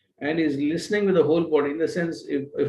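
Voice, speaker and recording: A man speaks with a Telugu accent. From India, Telugu-speaking region. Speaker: expert lecturer. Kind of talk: lecture. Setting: live online session. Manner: halting, many fillers.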